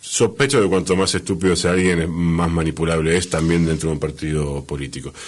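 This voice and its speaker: With an Argentine accent, the speaker moves at a fairly quick pace with hardly any pauses and ordinary pitch variation. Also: man, very deep, low pitch for a man. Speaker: radio host. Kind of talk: radio interview.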